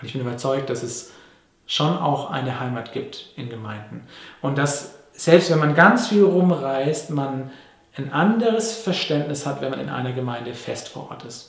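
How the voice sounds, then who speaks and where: Amid audible room echo, a man with a fairly high pitch talks at a fairly slow pace, with lively intonation and big swings in loudness. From Papua New Guinea (Manus), then Germany from age nine. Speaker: pastor. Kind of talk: sermon. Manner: conversational with fillers.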